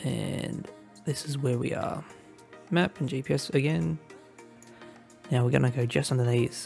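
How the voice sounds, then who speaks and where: Music plays in the background as the speaker moves at a moderate pace. There are long, frequent pauses. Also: man, medium pitch for a man. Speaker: gaming video creator. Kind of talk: casual gameplay commentary.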